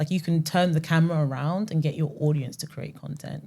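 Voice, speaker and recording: A woman with a London accent speaks in a dark, mellow tone at a very deep, low pitch, her intonation fairly even. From West London, England. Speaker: music marketing founder, ex-platform strategist. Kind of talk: podcast interview.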